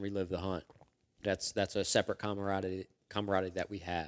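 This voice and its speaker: On a very clean recording with a silent background, a man speaks quickly, fairly so, in a fairly low pitch. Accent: Philadelphia. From US Northeast, Philadelphia. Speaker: sheet metal worker and hunter. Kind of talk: casual chat. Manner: halting, many fillers.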